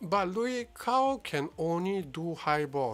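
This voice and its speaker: Music plays in the background while a man talks with ordinary pitch variation. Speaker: game live streamer. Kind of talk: casual chat. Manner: quiet, viewers say not loud enough.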